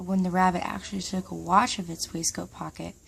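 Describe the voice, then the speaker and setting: A soft-spoken woman on a very clean recording with a silent background. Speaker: ASMR reader. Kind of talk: bedtime story reading.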